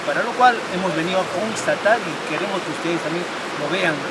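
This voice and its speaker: A man speaks over loud background noise. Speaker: travel documentary host. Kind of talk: travel presenter commentary. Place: waterside.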